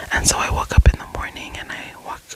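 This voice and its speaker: A whisper comes through amid noticeable background noise. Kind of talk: ASMR whispered ramble. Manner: whispered; soft-spoken, relaxing.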